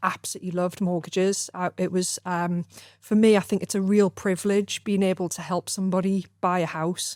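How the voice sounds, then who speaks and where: A woman with a northern English accent, medium pitch and monotone, flat intonation at a fairly quick pace, dry and close with no echo in a very clean recording against a silent background. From northern England (Gateshead area). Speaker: mortgage firm director. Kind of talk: podcast interview. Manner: hesitant, many fillers.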